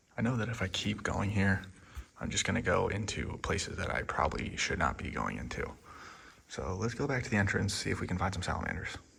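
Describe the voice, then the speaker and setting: Noticeable background noise and audible room echo surround a very fast delivery with lively intonation. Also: man, fairly low pitch for a man. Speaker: wildlife vlogger, herper. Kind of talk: outdoor vlog narration. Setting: outdoors, inside a cave. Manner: whispering in the cave; casual, with fillers.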